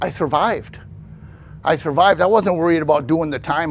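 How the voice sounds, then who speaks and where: Speaking at a fairly quick pace, a man with a fairly high pitch and ordinary pitch variation shows some vocal fry. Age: 60s. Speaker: pastor and ex-convict sharing testimony. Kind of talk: testimony. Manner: casual, conversational.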